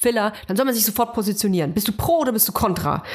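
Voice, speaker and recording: Very fast speech from a woman, fairly high in pitch and with ordinary pitch variation. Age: 30s. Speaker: podcast host. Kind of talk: casual chat.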